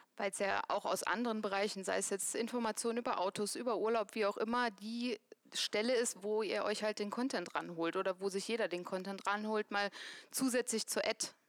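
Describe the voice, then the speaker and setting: A woman with a plain, everyday voice speaks at a fairly quick pace and fairly high pitch, with fairly even intonation, in a dry, close sound with no echo on a very clean recording with a silent background. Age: 30s. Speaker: employer branding manager. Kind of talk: live panel talk. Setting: stage with audience.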